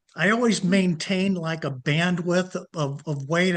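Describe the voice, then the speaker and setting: A man's high pitch and bright, sharp tone, with fairly even intonation and a fairly slow pace against a quiet background. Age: 70s. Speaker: fitness program member. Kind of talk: casual interview. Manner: halting, many fillers and repetitions.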